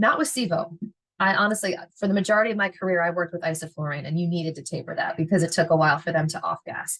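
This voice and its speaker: This woman's voice sits fairly low and sounds animated, with ordinary pitch variation. She speaks at a very fast pace. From Philadelphia, US. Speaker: veterinary technician educator. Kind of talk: lecture.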